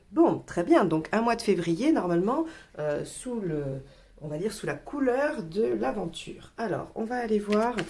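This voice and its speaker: Over noticeable background noise, a woman talks at a fairly slow pace in a medium pitch with very wide pitch swings. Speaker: tarot reader. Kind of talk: tarot reading video. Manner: hesitant, many fillers.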